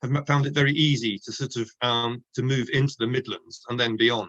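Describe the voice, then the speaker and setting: A man with an Oxford accent speaks at a fairly quick pace, his medium pitch carrying ordinary variation. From southern England, Oxford. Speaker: author, nature writer. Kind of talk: book launch interview. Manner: hesitant, many fillers and restarts.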